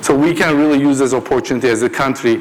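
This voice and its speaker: A man talks at a fairly quick pace with ordinary pitch variation, with noticeable background noise behind him. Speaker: panelist, tech entrepreneur. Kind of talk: panel discussion.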